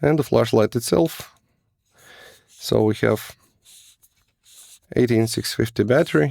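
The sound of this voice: A man speaks slowly in a fairly low pitch, with vocal fry, a slightly mellow tone and ordinary pitch variation. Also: dry, close sound with no echo.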